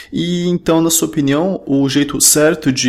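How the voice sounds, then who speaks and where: Noticeable background noise sits behind the recording. A man talks with a fairly high pitch and ordinary pitch variation. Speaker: podcast host. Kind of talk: interview. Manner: casual.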